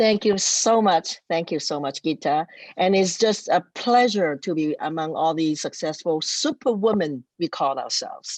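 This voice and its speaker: Hardly pausing, a woman speaks at a moderate pace in a fairly low voice with lively intonation, the sound dry and close with no echo. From non-English-speaking country, immigrated to Canada. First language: not English. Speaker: city councillor. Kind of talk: award ceremony speech. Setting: virtual event. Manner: halting, with fillers.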